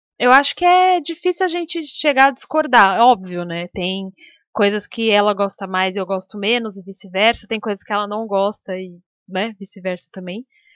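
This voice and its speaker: With an unremarkable speaking voice at medium pitch, a woman talks at a moderate pace with lively intonation and big swings in loudness, in a dry, close sound with no echo. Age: 20s. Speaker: podcast co-host, streamer. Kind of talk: casual chat.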